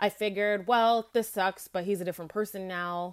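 A normal speaking voice moves at a fairly quick pace with ordinary pitch variation on a very clean recording with a silent background. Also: woman. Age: 30s. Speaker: listener sharing experience as a fan. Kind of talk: recorded voice note testimony.

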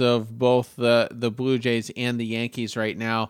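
With an American accent, a man talks at a fairly slow pace. He has a normal speaking voice of medium pitch. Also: very clean recording, silent background. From Maine, US. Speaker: sports podcast co-host. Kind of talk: casual chat.

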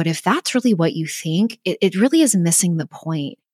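The speaker talks at a fairly quick pace, and the sound is dry and close with no echo. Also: woman. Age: 30s. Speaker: nutritionist podcast host. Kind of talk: solo educational podcast monologue. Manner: animated.

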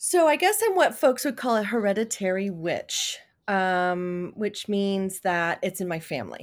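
A woman with a normal speaking voice and lively intonation, on a very clean recording with a silent background. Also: medium pitch for a woman, fairly slow pace. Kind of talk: casual chat.

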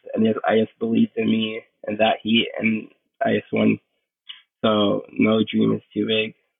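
A man talks with a Puerto Rican accent. He leaves long, frequent pauses. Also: moderate pace. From Puerto Rico. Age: 20s. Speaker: pro surfer. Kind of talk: casual interview.

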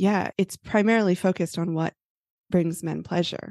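A woman with an ordinary speaking voice talks at a moderate pace and a fairly low pitch. Her pitch varies in an ordinary way over a quiet background. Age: 40s. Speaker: marriage coach. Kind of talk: casual chat.

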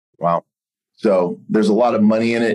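In a normal speaking voice, a man talks at a moderate pace. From US, Pittsburgh. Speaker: real estate brokerage executive and former attorney. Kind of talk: interview.

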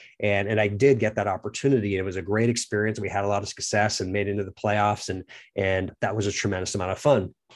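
Very fast speech in an American accent, flat and monotone, with hardly any pauses, against a quiet background. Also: man, fairly low pitch for a man. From Oregon suburbs, born near Boston. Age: 40s. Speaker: podcast host and company founder. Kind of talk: monologue, personal story. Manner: halting, many repeated words.

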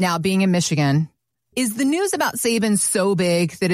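Speaking at a moderate pace with ordinary pitch variation, a woman with an unremarkable speaking voice is heard on a very clean recording against a silent background. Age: 40s. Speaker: radio co-host. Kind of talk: casual chat.

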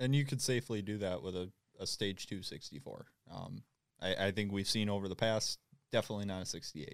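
A man's fairly low voice at a very fast pace, ordinary pitch variation, very clean recording with a silent background. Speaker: diesel field technician. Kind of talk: casual shop chat.

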